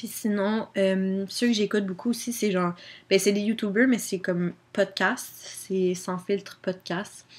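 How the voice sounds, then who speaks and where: Speaking in a Quebec accent, a woman holds a medium pitch, fairly even intonation and a moderate pace. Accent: Québécois French. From Quebec, Drummondville. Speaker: YouTuber. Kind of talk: casual chat. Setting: home webcam recording. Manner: casual, filler-heavy (genre, comme).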